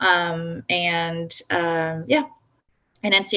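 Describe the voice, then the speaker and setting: A woman speaks in a French accent. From France. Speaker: software founder. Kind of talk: workshop presentation. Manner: halting.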